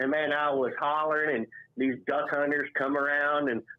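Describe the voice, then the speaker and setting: Using an ordinary speaking voice, a man talks at a moderate pace in a fairly high pitch. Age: 60s. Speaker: caller. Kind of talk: casual chat.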